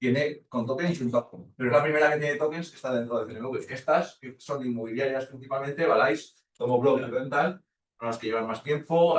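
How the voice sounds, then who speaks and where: Somewhat breathy, a man speaks at a very fast pace with a medium pitch and ordinary pitch variation. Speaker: lecturer. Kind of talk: lecture.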